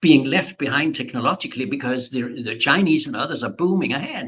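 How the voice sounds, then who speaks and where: Fairly quick pace with very wide pitch swings and an animated tone. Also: man. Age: 70s. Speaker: peace researcher. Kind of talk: interview.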